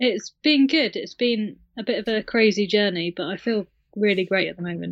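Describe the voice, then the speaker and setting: A woman with a British accent speaks at medium pitch. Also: ordinary pitch variation, moderate pace. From UK. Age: 30s. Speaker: recovery guest sharing her story. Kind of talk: interview, personal story.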